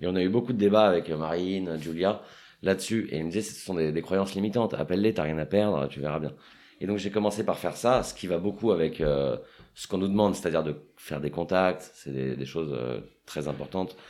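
A man's rather quick speech comes through on a very clean recording where the background is silent. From Paris, France. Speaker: real estate agent. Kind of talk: casual interview.

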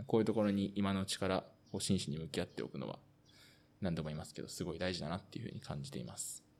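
A man with a very deep, low pitch, vocal fry and lively intonation, going at a very fast pace. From Osaka, Japan. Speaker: amateur footballer and podcast host. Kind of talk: casual podcast chat.

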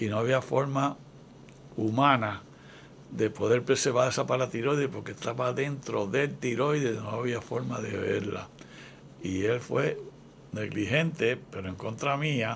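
With vocal fry and a medium pitch, a man talks at a fairly slow pace, using ordinary pitch variation and long, frequent pauses. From Puerto Rico (Ponce). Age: 80s+. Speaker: retired physician and author. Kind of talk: interview.

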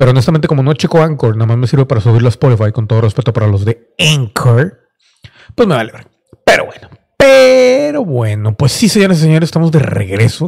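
A man's medium-pitched, somewhat breathy voice with an animated tone, at a fairly quick pace. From Mexico (Monterrey). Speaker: podcast host. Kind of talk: casual solo monologue.

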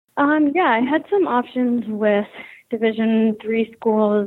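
With an American accent, a woman speaks at a moderate pace in a fairly high pitch, using an unremarkable speaking voice. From Philadelphia, Pennsylvania. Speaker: professional ice hockey player. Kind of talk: interview.

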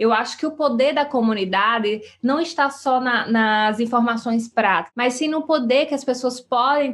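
A woman speaks in a high pitch with ordinary pitch variation. The background is quiet. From Brazilian Northeast, sertão of Paraíba. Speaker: podcast host, entrepreneurship coach. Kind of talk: solo podcast monologue. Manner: warm, conversational.

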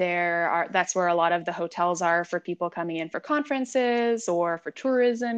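A woman with an American accent speaks in a normal speaking voice at a moderate pace, fairly low in pitch with ordinary pitch variation. The background is quiet and the sound is dry and close with no echo. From San Diego, California. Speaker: wine sales professional and sommelier. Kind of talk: casual interview.

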